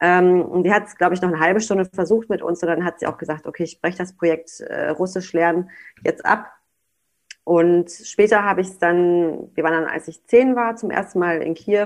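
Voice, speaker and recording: In a normal speaking voice over a quiet background, the speaker moves at a fairly quick pace with fairly even intonation and big swings in loudness. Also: woman, fairly low pitch for a woman. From Germany, North Rhine-Westphalia. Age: 20s. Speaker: daycare director. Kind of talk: casual interview chat.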